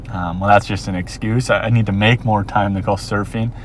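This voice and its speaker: Over noticeable background noise, a man with an American accent speaks at a moderate pace, his fairly low pitch kept in fairly even intonation. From Minnesota, US. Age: 30s. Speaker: podcast host. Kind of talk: solo monologue. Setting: outdoors, watching surfers. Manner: casual, many fillers.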